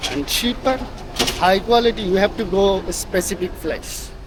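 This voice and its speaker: At a fairly slow pace, the speech comes through with noticeable background noise. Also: man. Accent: non-native. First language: not English. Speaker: travel vlogger. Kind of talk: casual vlog walk-through. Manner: animated.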